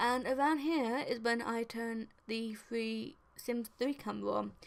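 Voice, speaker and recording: In an unremarkable speaking voice, a woman talks with lively intonation at a fairly high pitch. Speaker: video game voiceover creator. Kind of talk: casual, chatty.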